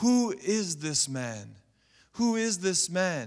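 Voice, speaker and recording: Over a silent background in a very clean recording, a man speaks with lively intonation. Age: 40s. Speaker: pastor. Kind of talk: church sermon, Sunday service preaching with congregation call-and-response. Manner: rising, rhythmic preaching cadence with exhortations and repeated phrases; emphatic, building to calls for amen.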